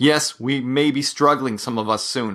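A man speaks at a fairly slow pace in a normal speaking voice, with ordinary pitch variation. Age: 40s. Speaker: solo podcaster on mental health. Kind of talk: personal monologue.

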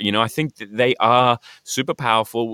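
A man's bright, sharp tone at a fairly quick pace, dry and close with no echo. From Australia, born in UK. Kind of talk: casual conversation.

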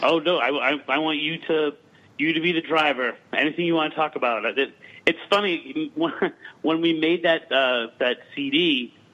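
With a plain, everyday voice, a man speaks at a fairly slow pace, his pitch fairly high and his intonation fairly even. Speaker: folklorist and paranormal investigator. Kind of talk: casual interview chat. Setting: remote call.

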